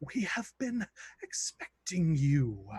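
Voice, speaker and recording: At a middle pitch, this is a put-on character voice. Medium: actual play.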